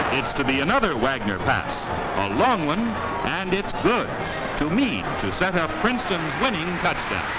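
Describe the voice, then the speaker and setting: Loud background noise runs under the voice. The pace is fairly slow. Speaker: newsreel narrator. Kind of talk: newsreel narration. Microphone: old recording.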